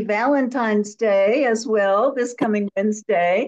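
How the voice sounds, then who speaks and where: The speaker is a woman with an American accent. She talks at a moderate pace over a quiet background. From US Midwest. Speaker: forum moderator. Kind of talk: moderated discussion. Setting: video call. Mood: warm, welcoming. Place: home room. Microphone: video call.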